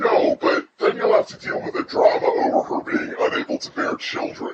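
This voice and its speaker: Putting on a character voice, a man speaks at a moderate pace with extremely high pitch and very wide pitch swings, with a slight echo. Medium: audio drama. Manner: exasperated, emphatic.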